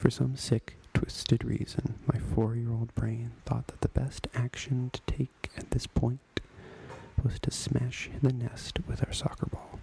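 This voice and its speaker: The man speaks in a whisper. He goes fairly slowly. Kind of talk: ASMR memoir story reading. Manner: whispered.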